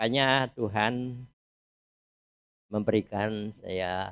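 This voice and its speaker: The recording is dry and close, with no echo. A man is speaking. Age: 80s+. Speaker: church member. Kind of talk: testimony.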